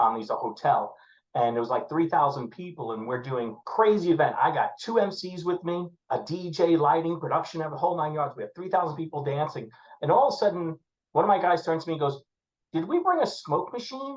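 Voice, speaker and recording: Here a man talks with a New York accent at a high pitch. His intonation is lively and his pace fairly quick. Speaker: wedding DJ and MC manager. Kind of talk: casual chat. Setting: podcast.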